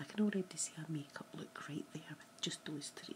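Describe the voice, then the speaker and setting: A woman whispers. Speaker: beauty vlogger. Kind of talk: makeup tutorial chat. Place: home room. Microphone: phone near.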